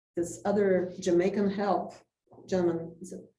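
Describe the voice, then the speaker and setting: With monotone, flat intonation and a fairly low pitch, a woman speaks at a moderate pace amid audible room echo. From Poland. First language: Polish. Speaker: community society president. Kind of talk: talk to a club with Q&A. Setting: club meeting with audience.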